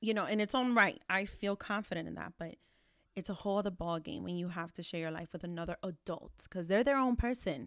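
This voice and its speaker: On a very clean recording with a silent background, a woman speaks at a fairly quick pace. Her voice sits at a medium pitch with ordinary pitch variation. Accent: New York. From New York City. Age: 30s. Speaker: podcast host, single mother. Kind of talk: casual chat.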